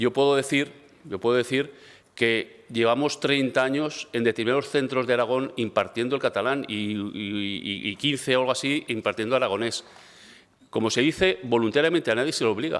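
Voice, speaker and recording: The speech comes at a fairly quick pace with ordinary pitch variation, on a very clean recording with a silent background. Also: man. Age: 60s. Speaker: regional education minister. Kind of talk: parliamentary debate. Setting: parliament chamber. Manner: halting, many fillers and repetitions; calm.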